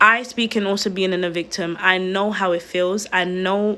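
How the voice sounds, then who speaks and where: A woman speaks with a bright, sharp tone at medium pitch and moderate pace, her intonation monotone and flat. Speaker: online video host. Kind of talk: livestream talk. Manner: earnest, pleading.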